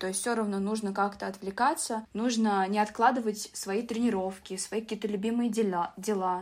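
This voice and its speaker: Delivered at a moderate pace in a monotone, flat intonation, the recording is very clean with a silent background. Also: woman. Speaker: business informatics student and IT employee. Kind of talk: interview.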